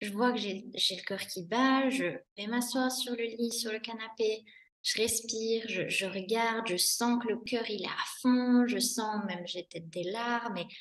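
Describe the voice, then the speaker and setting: A woman talks at a fairly slow pace. Her voice sits fairly high. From Switzerland. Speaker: business founder and coach. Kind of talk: podcast interview. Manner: animated.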